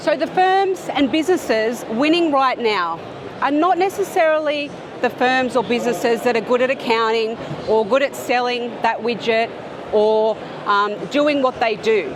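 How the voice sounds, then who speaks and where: A woman with an Australian accent speaks at a high pitch in an animated tone with lively intonation. Audible room echo and noticeable background noise are present. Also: moderate pace, very even loudness. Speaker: accountant and business speaker. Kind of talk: conference talk. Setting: stage with audience.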